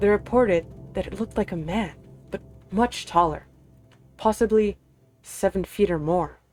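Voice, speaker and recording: Over music in the background, a woman speaks at medium pitch with ordinary pitch variation and long, frequent pauses. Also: moderate pace. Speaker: streamer. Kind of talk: scary story reading. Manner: halting, fumbling reading.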